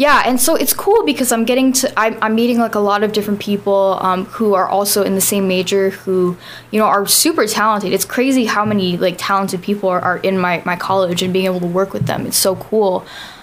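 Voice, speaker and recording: Words run together with hardly any pauses at a very fast pace, and the loudness stays very even. Pitch moves in an ordinary way, with noticeable background noise behind it. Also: woman, medium pitch for a woman. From Guam. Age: 20s. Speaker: singer-songwriter. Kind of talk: casual interview. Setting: studio.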